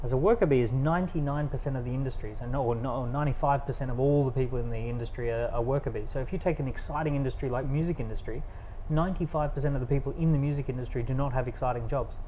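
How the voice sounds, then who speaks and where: Over audible room echo, a man with an Australian accent talks at a very fast pace with hardly any pauses, somewhat breathy and dark, mellow in tone, with fairly even intonation. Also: medium pitch for a man. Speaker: entrepreneur and author. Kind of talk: interview. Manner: fluent, some filler words.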